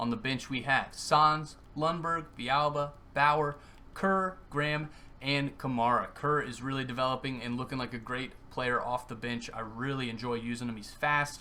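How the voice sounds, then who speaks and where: Bright and sharp in tone, a man speaks with fairly even intonation. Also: medium pitch for a man, moderate pace. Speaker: gaming YouTuber. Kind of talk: gameplay commentary.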